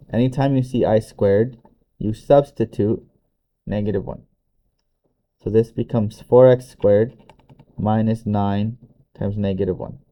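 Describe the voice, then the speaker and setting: A man speaks with a dark, mellow tone at a moderate pace. His intonation is fairly even, broken by long, frequent pauses. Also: fairly low pitch for a man. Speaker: math teacher. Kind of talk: tutorial.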